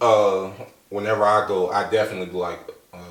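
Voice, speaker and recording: There is noticeable background noise and audible room echo. A man talks at a moderate pace with a fairly low pitch. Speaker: podcast host. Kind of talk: casual chat. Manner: loud.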